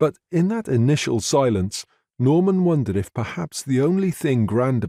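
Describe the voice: The voice is plain reading aloud with lively intonation. The background is quiet.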